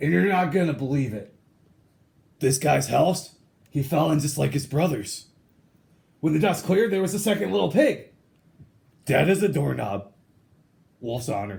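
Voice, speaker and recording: Using a put-on character voice, a man speaks in a fairly high pitch at a moderate pace. He leaves long, frequent pauses. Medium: read story. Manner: casual, stammering, self-justifying.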